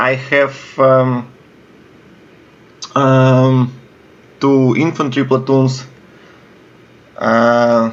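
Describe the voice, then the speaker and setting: A man with a Russian accent talks at a very slow pace, leaving long, frequent pauses. His medium pitch carries a monotone, flat intonation. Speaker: video game commentator. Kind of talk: gameplay commentary. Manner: halting, many fillers.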